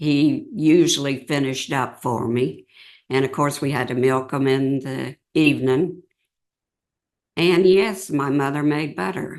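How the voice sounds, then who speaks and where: An American accent at a very slow pace, against a quiet background. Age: 80s+. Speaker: local elder interviewee. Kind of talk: oral history interview. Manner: halting.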